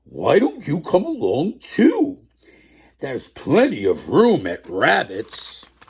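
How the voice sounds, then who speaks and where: Fairly slow delivery from a man in a put-on character voice. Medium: read story. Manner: warm, good-natured.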